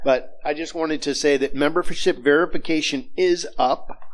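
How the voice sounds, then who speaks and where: A man's voice with very wide pitch swings. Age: 60s. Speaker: minister. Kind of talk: church announcements. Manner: casual, halting.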